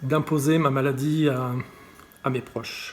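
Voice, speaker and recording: The intonation is monotone and flat, with noticeable background noise. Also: man. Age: 60s. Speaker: patient advocate. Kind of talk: testimony. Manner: halting, many repetitions and fillers.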